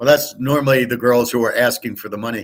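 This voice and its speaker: Here a man speaks at a medium pitch. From Southern California (Pasadena). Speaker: sports betting handicapper. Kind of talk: casual live stream monologue. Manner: loud.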